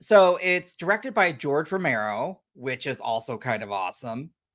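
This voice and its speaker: A man's fairly high voice with an American accent, moderate pace and very wide pitch swings. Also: big swings in loudness, very clean recording, silent background. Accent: American, says half like have. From United States. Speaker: podcast host. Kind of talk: casual chat.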